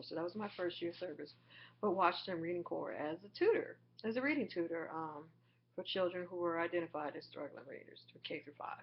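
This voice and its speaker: In an ordinary speaking voice, a woman talks at a fairly quick pace with a fairly low pitch. Her pitch variation is ordinary. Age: 30s. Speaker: vlogger and graduate student. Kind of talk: personal vlog monologue. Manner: casual with frequent filler words.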